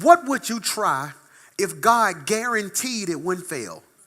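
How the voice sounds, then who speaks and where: Lively intonation in a man's raised, projected voice with a bright, sharp tone. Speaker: pastor. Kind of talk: sermon. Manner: animated.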